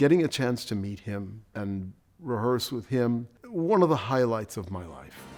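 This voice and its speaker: An unremarkable speaking voice, a man with an American accent talks at a fairly slow pace. His intonation is lively, and his loudness swings widely. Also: medium pitch for a man. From New York City, East Harlem. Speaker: orchestral trumpet player. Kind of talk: documentary interview.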